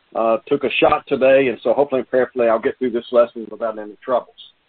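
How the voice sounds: With a medium pitch and a slightly husky edge, a man talks fast in fairly even intonation.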